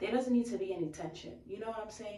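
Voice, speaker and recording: The voice carries an American accent and audible room echo. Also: woman. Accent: Bronx accent, heavier when upset. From New York, the Bronx. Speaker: YouTube vlogger. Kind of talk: casual chat. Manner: animated.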